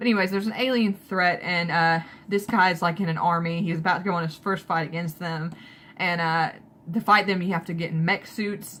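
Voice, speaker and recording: On a very clean recording with a silent background, a woman with a Southern US accent speaks fairly quickly at a fairly low pitch, keeping her intonation fairly even. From Alabama, US South. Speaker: manga book reviewer. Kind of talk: casual video review. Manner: casual with many fillers.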